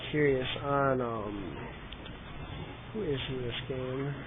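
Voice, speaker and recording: A man's animated tone at medium pitch, with ordinary pitch variation and noticeable background noise. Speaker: game commentator. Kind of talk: live commentary. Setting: livestream, headset. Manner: loud; casual, animated.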